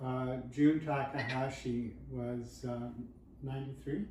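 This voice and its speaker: Over noticeable background noise and audible room echo, a man of medium pitch speaks at a fairly slow pace with fairly even intonation. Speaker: judo book author. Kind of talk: casual interview chat. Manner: monotone.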